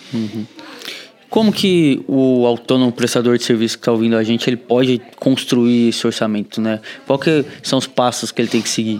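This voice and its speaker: A man speaks at a moderate pace with fairly even intonation and a medium pitch. Noticeable background noise runs under his voice. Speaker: marketing manager, podcast co-host. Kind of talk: casual podcast chat.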